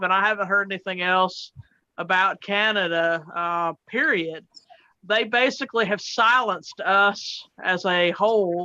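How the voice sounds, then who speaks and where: With a Southern US accent, a woman talks at a fairly slow pace and medium pitch. Her tone is bright and sharp, her intonation fairly even. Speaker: truck driver. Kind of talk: casual chat. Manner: halting, many fillers.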